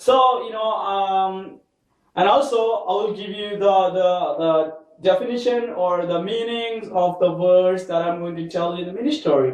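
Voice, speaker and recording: Speaking fairly slowly in a Keralan accent, a man has a high pitch and ordinary pitch variation. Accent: Indian English (Malayali). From India, Kerala. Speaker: English learner teaching with mini-stories. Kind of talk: question-and-answer mini story lesson.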